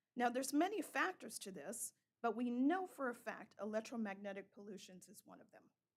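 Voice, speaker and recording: At a moderate pace, a woman talks with a high pitch and lively intonation. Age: 60s. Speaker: member of the public making a comment. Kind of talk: public comment. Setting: town council meeting.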